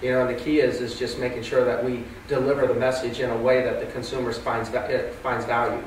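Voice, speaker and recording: Speech moves at a fairly quick pace with hardly any pauses, with audible room echo and light background noise. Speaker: real estate agent. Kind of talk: panel discussion. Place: meeting room.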